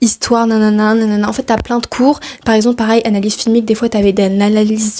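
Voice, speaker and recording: A woman speaks in a flat monotone at a fairly high pitch with a dark, mellow tone. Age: 20s. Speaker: film studies graduate. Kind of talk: casual talk to camera. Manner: relaxed, chatty.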